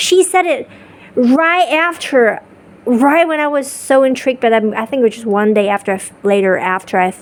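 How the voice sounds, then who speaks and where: Animated and high-pitched, a woman's voice makes very wide pitch swings. She keeps a moderate pace over noticeable background noise. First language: not English. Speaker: spiritual vlogger. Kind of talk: casual monologue. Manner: halting, with repetitions and restarts.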